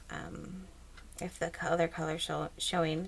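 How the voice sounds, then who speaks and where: A soft-spoken woman talks at a fairly quick pace. Noticeable background noise runs under her voice. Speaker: crafting YouTuber. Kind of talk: tutorial. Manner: casual, hesitant with fillers.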